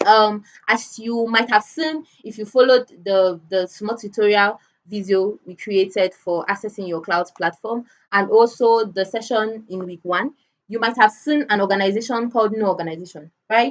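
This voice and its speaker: This is a woman with an ordinary speaking voice, fairly high in pitch. She talks at a moderate pace with ordinary pitch variation and big swings in loudness. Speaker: cybersecurity analyst teaching a cloud certification course. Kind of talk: online lecture.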